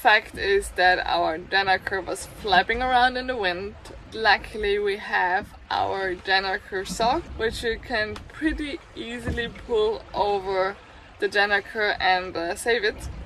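Music plays behind a woman whose voice has a dry sound with no echo. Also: ordinary pitch variation, fairly slow pace. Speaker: sailing vlogger. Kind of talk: casual vlog chat. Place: boat. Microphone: phone near.

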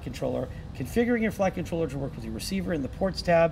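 A man speaks over noticeable background noise. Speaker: instructor. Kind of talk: tutorial. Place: workshop.

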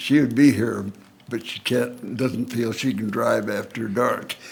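Audible room echo surrounds a man speaking at a medium pitch. He talks very slowly in a monotone, flat intonation. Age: 90s. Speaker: senior citizen speaking at public meeting. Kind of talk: public comment at council meeting. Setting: council chambers.

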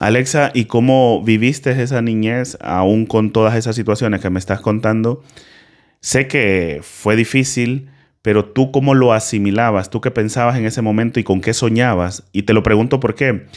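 This man's voice sits at a medium pitch, moving at a moderate pace with fairly even intonation over a quiet background. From Honduras. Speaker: podcast host. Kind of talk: casual interview. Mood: calm, warm. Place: studio. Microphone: studio mic.

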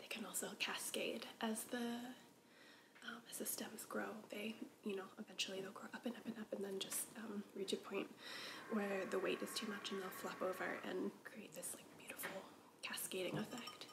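A woman is speaking at a moderate pace. Background noise is noticeable. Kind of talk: casual vlog chat. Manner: soft ASMR whisper, slow and intimate. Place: home room. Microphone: camera far.

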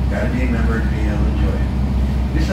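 A man at a moderate pace with audible room echo and music in the background. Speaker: boat captain tour guide. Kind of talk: tour guide commentary. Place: boat.

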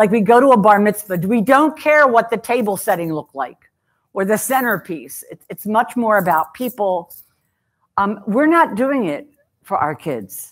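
A woman at a fairly slow pace, quiet background. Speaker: presenter. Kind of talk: talk to an audience. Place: hall.

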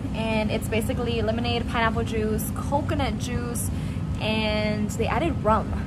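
Loud background noise fills the clip. Over it, a woman speaks at a fairly quick pace. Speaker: travel vlogger. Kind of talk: casual vlog chat. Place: cafe. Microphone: phone near.

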